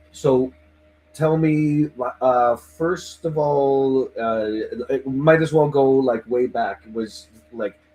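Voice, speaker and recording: Music in the background behind a man's fairly high voice at a very slow pace. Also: ordinary pitch variation. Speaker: livestream host interviewing band fans. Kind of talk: casual chat.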